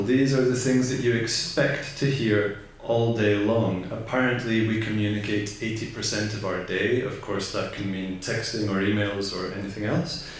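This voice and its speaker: Over noticeable background noise and audible room echo, the speaker goes at a moderate pace with ordinary pitch variation. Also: man. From Scotland. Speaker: voice production specialist and voice artist. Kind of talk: conference talk. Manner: casual, joking.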